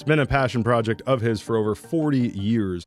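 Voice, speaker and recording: Music plays in the background while the voice moves with ordinary pitch variation. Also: man. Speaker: voice actor. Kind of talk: casual talk to camera.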